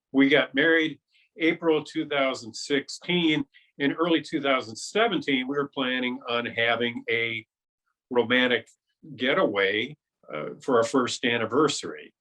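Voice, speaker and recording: Here a man with an unremarkable speaking voice talks at a fairly slow pace. His pitch sits fairly high, with ordinary variation. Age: 60s. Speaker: cancer survivor. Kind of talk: interview testimony.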